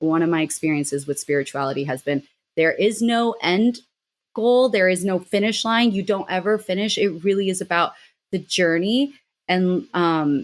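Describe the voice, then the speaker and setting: In a very clean recording with a silent background, a woman talks in an ordinary speaking voice, fairly low in pitch and with lively intonation. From Mexico City, Mexican family, raised in US. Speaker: miniature artist and witch. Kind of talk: casual interview chat.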